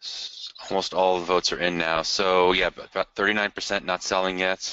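Using a very deep, low pitch and monotone, flat intonation, a man speaks at a moderate pace. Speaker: payments company representative. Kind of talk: webinar presentation. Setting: online webinar call.

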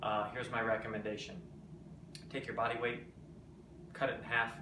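A man talks fairly quickly while noticeable background noise plays behind him. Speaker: presenter. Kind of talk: casual tips vlog. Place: kitchen. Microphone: phone near.

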